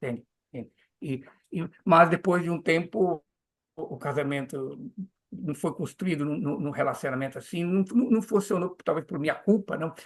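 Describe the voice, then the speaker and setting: Pausing long and often, a man with a high pitch talks at a moderate pace with lively intonation. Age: 70s. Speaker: Hare Krishna preacher and teacher. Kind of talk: interview conversation. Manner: halting, many repetitions and fillers.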